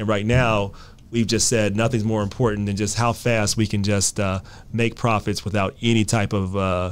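A man at fairly low pitch and moderate pace, fairly even intonation, a normal speaking voice. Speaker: podcast host. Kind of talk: interview conversation. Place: studio. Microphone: studio mic.

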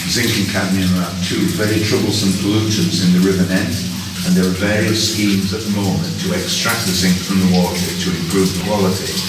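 Loud background noise and audible room echo surround a man talking at a fairly quick pace. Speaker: mine guide. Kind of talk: guided tour explanation. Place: tunnel cave.

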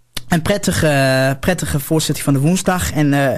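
A man talks at a moderate pace. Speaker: local radio presenter, producer and technician. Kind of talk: radio broadcast sign-off and programme announcements. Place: studio. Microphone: studio mic.

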